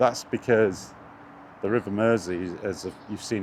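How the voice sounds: With a slightly mellow tone, a man talks low in pitch and with fairly even intonation.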